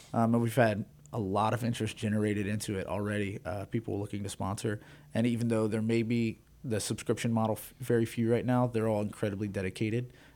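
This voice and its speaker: A man with a dark, mellow tone and fairly low pitch races along at a very fast pace in monotone, flat intonation, with an American accent. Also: very clean recording, silent background. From Texas. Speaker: musician and music reviewer. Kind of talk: interview. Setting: radio studio.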